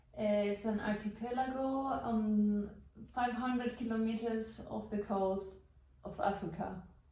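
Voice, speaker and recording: Her fairly high voice is flat and monotone, moving at a fairly slow pace with long, frequent pauses. Noticeable background noise and audible room echo surround this woman. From Canary Islands, Spain. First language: Spanish. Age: 30s. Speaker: couchsurfing host. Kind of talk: interview. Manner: halting.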